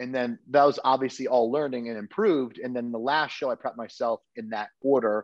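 At a fairly quick pace, a man with an American accent speaks with ordinary pitch variation, the background quiet and the sound dry with no echo. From Connecticut. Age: 30s. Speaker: bodybuilder and dietitian coach; dietitian coach. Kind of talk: casual interview chat. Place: kitchen. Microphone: video call.

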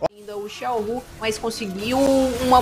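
A woman's voice over background music. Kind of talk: esports commentary with analytical replay explanation. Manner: calmer, explanatory, conversational.

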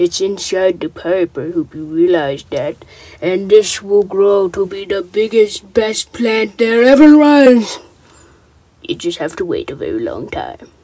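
This cartoonish character voice sits at a fairly high pitch and moves at a fairly slow pace. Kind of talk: comic puppet skit voice. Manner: slick, rambling sales patter.

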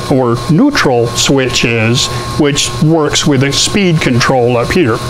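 A man speaks very slowly with ordinary pitch variation over noticeable background noise. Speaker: metal artist demonstrating a machine. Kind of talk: tutorial. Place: workshop.

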